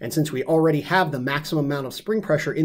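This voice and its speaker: A man speaks with ordinary pitch variation. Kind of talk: technical product explanation. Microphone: webcam.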